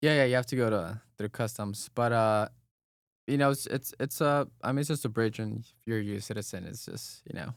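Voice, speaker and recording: A man of medium pitch talks at a fairly quick pace with ordinary pitch variation and big swings in loudness. The recording is very clean with a silent background. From Texas-Mexico border (Eagle Pass, Texas). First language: Spanish. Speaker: business founder. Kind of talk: casual chat.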